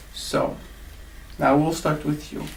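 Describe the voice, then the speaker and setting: A man speaks fairly slowly, his voice carrying audible room echo. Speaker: English teacher. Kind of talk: classroom lesson. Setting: classroom with students.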